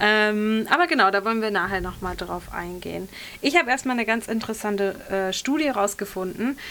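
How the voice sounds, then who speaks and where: Her tone is bright and sharp, set at a fairly high pitch. The woman talks at a fairly quick pace. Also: lively intonation. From western Germany (Bergisch Gladbach). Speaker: radio host. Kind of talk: casual chat.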